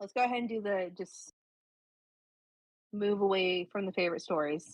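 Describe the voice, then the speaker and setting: Here a woman has a normal speaking voice, with medium pitch, ordinary pitch variation and a moderate pace. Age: 20s. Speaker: podcast co-host, single mom. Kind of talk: casual chat.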